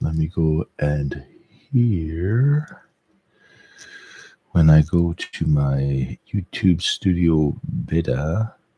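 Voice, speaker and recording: A man with a French Canadian accent, very slow and very deep, his pitch swinging very widely, in a dry, close sound with no echo. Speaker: live streamer. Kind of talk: casual live stream monologue. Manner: halting, many fillers.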